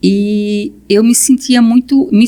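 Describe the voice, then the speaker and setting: A somewhat breathy woman's voice with a dark, mellow tone. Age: 60s. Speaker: guest. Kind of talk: testimony. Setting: podcast recording.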